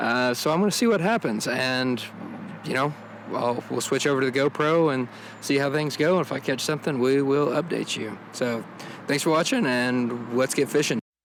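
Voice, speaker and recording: A man with a fairly high pitch over noticeable background noise. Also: ordinary pitch variation, moderate pace. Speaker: outdoors video host. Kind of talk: casual vlog narration. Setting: outdoors by a river. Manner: casual, hesitant with fillers.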